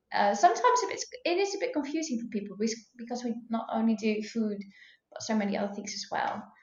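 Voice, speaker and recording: A woman with a Dutch accent talks at a very fast pace. Her pitch is fairly high, with ordinary pitch variation. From Netherlands. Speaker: food blogger and cookbook author. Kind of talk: podcast interview. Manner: hesitant, many fillers.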